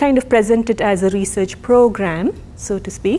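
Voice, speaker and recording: A woman is talking. She has a Tamil accent. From India, Tamil. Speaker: professor. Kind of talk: lecture. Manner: halting, many fillers and restarts.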